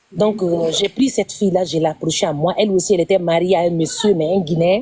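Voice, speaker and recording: Noticeable background noise sits behind a woman's fairly low voice. She talks at a fairly quick pace with fairly even intonation. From Guinea. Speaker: caller sharing personal story on live stream. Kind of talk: testimony. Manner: halting.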